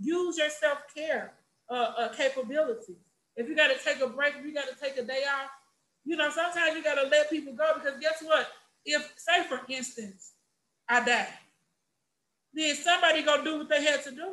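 A woman with an American accent speaks in a raised, projected voice, high-pitched, bright and sharp, with an animated tone. Her pace is fairly quick, broken by long, frequent pauses, and her pitch varies in an ordinary way. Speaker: special education teacher. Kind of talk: casual chat. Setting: video call. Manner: loud.

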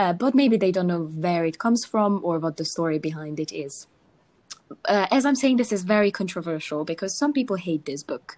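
Speaking with a Hungarian accent, a woman uses a medium pitch. She talks at a fairly quick pace. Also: lively intonation. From Hungary. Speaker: podcast co-host. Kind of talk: casual chat.

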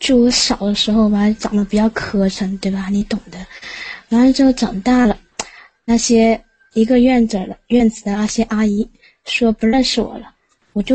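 Using an unremarkable speaking voice, a woman talks at a moderate pace in a fairly high pitch with fairly even intonation. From Liaoning, northeast China. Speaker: caller. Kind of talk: casual chat.

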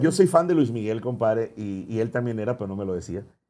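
A man's plain, everyday voice, lively in intonation and fairly quick in pace. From Ciudad Obregón, Sonora, Mexico. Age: 30s. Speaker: singer. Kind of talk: casual chat.

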